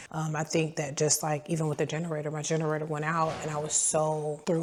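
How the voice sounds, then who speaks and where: A woman speaks at a very deep, low pitch. Background noise is noticeable. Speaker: food truck owner and vlogger. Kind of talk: story time vlog.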